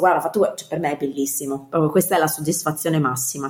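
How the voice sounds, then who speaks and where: A woman speaks at a fairly low pitch with fairly even intonation. Noticeable background noise can be heard. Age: 30s. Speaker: professional organizer. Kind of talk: interview.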